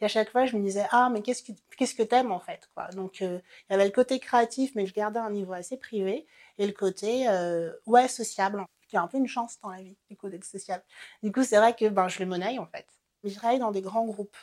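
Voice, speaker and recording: A plain, everyday voice from a woman, fairly high in pitch and fairly quick, with fairly even intonation on a very clean recording with a silent background. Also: big swings in loudness. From French Antilles (Marie-Galante, Guadeloupe). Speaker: career changer sharing her story. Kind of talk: personal testimony.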